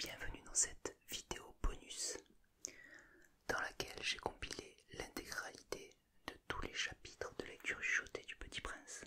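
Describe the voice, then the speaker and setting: The whispering moves at a fairly slow pace, with noticeable background noise behind it. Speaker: ASMR creator. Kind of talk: casual talk to camera. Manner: whispered.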